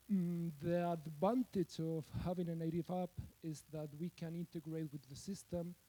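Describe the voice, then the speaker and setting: Recorded dry and close with no echo, a man with a slight Spanish accent speaks at a high pitch and a moderate pace in a dark, mellow tone. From Spain. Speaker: software developer, conference speaker. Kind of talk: conference talk. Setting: stage with audience. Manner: hesitant with fillers and repetitions.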